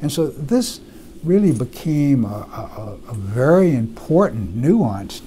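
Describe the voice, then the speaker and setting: A man with an American accent and very wide pitch swings, over light background noise. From US South, Mississippi. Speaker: retired medical researcher. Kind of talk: oral history interview. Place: office. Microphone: lapel.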